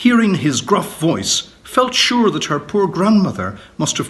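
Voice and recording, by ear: A natural voice reads a passage aloud.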